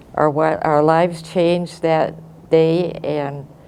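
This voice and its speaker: An American accent comes from a woman with a dark, mellow tone and fairly low pitch. Her intonation is fairly even, and the room echo is audible. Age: 90s. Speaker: war-era eyewitness. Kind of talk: testimony. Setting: classroom. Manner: halting.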